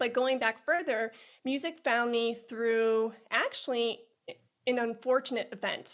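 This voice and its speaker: A woman with a Chicago accent at a high pitch and moderate pace, fairly even intonation, in a very clean recording with a silent background. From US Midwest, Chicago. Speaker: music educator. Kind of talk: podcast interview.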